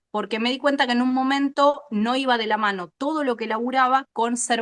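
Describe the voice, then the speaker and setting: Recorded with a dry, close sound and no echo, a woman talks at a moderate pace with an Argentine accent. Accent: Rioplatense Argentine Spanish. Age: 40s. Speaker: animal scientist. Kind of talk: interview. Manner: animated.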